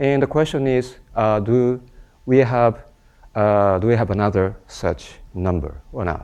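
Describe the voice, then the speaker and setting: This is a man talking. He speaks with a Japanese accent. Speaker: mathematician. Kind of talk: lecture. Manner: halting.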